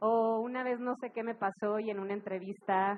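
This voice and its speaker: A woman with a plain, everyday voice speaks at a medium pitch and moderate pace with fairly even intonation. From Monterrey, Mexico. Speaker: music festival director. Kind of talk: live talk to an audience. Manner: casual, humorous.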